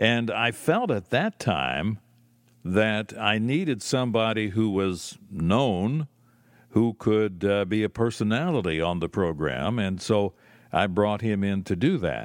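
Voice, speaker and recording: A fairly low-pitched man talks at a fairly slow pace with lively intonation. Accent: Pennsylvania. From Lancaster, Pennsylvania. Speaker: syndicated gospel radio host. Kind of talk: recorded interview answers. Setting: recorded remotely. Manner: measured, radio-trained, projecting.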